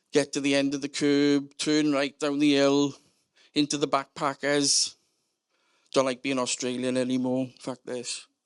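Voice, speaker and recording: The background is quiet as a man talks at a moderate pace. He has a South Wales Valleys accent. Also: long, frequent pauses. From Wales, South Wales Valleys. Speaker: storyteller. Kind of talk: comedic storytelling.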